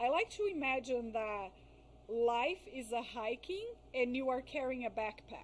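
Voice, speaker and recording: Lively intonation marks this woman's speech. She has a high pitch and a non-native accent. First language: not English. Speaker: psychologist specializing in crisis and trauma. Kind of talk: podcast interview. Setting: live-streamed podcast. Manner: careful, halting on some words.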